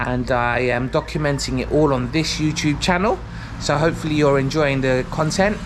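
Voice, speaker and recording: Against noticeable background noise and audible room echo, a man speaks with a London accent. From London, England. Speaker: vlogger. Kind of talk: vlog intro to camera. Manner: casual, with frequent fillers.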